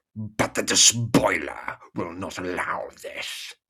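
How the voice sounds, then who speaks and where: Growling in a put-on character voice, a man speaks very slowly with a menacing tone. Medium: read story. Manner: menacing, growling.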